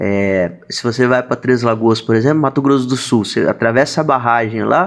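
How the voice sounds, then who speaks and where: A man's plain, everyday voice of medium pitch, moderate pace, hardly any pauses and ordinary pitch variation. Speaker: school show host. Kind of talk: casual conversation.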